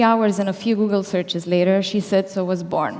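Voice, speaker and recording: Shaky and fairly quick, a woman's voice holds a medium pitch with fairly even intonation. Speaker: company founder. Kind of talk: keynote speech. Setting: stage with audience. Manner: formal.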